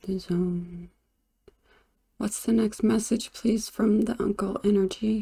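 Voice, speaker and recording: A woman speaks quietly and somewhat breathily, with a dark, mellow tone and fairly even intonation. Her pace is very slow, broken by long, frequent pauses. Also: medium pitch for a woman. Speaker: tarot and pendulum reader. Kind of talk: divination reading.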